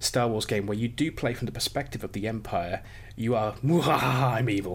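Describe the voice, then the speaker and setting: The man's voice sits at a medium pitch with ordinary pitch variation. It sounds somewhat breathy. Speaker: game mod project lead. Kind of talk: interview conversation.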